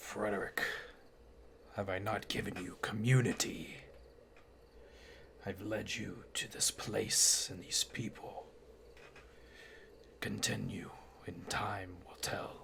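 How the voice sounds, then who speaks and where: A man's put-on character voice, raspy and gruff, at a fairly slow pace over clear background noise. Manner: stern, guiding.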